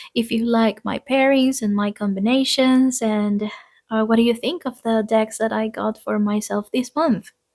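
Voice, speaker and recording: A woman speaks with a non-native accent and ordinary pitch variation. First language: not English. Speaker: tarot reader and craft YouTuber. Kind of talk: casual monthly vlog talk to camera. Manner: hesitant, many fillers.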